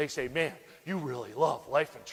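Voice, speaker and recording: This man's voice sits fairly high in pitch. It varies in pitch in an ordinary way. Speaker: life insurance sales trainer. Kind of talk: motivational speech. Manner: fast; animated.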